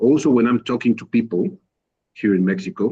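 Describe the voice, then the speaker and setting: A man with a Spanish accent, a dark, mellow tone, and a moderate pace. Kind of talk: casual group video call chat. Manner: halting, with repetitions.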